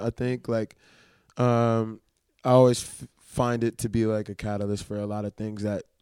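In a New Orleans accent, a man talks at a moderate pace and medium pitch, recorded very cleanly against a silent background with a dry, close sound and no echo. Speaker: rapper and producer. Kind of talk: casual interview.

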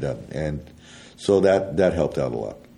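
Very deep and low in pitch, a man talks at a fairly quick pace in a dark, mellow tone with vocal fry. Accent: American. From US West, Colorado. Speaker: war veteran. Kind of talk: interview. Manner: halting, many repeated words.

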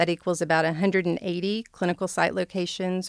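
A woman with an American accent talks fairly quickly in a flat monotone at a fairly low pitch. The recording is very clean, with a silent background and a dry, close sound with no echo. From Arkansas, US South. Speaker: healthcare executive. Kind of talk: interview.

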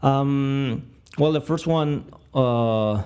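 The man has a Spanish accent and ordinary pitch variation. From Argentina. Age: 20s. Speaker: product manager and software developer. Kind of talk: interview conversation. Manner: halting, many fillers and repetitions.

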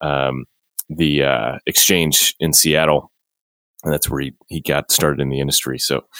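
A man's very deep, low voice with vocal fry, monotone, flat intonation and an American accent, in a dry, close sound with no echo. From Chicago. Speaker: podcast host. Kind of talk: interview conversation.

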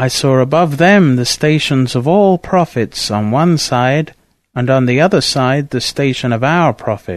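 This man has an unremarkable speaking voice, pitched fairly high, with ordinary pitch variation. He talks at a fairly slow pace against a quiet background. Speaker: audiobook narrator. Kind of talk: scripted narration, reading aloud of a saint's biography. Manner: formal; measured, reverent.

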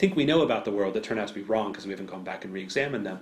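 A man's voice with audible room echo. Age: 40s. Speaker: business school professor. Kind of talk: academic interview.

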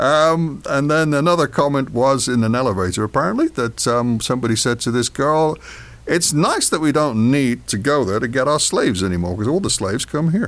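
On a very clean recording with a silent background, a man with an English accent talks at a fairly quick pace in a fairly high pitch, his intonation lively and his loudness very even. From England. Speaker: podcast co-host. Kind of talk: casual chat.

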